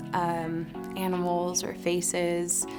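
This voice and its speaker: A woman speaks with a Pacific Northwest accent. Music plays in the background. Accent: Pacific Northwest American English. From Tacoma, Washington. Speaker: visual artist. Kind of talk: interview answer. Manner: casual, reflective, with many fillers.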